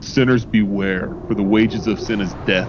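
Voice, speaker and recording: Over clear background noise, a man puts on a character voice at a fairly low pitch and a moderate pace. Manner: booming, solemn.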